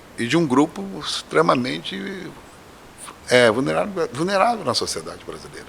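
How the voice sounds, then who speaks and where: Moderate-paced speech from a man amid noticeable background noise. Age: 60s. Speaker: professor and candomblé priest. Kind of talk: podcast interview.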